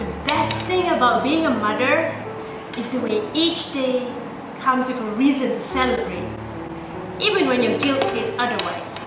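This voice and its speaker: A woman speaks at a moderate pace. Audible room echo and noticeable background noise come through. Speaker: spoken word poet. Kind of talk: spoken word poetry. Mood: warm, heartfelt. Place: home room.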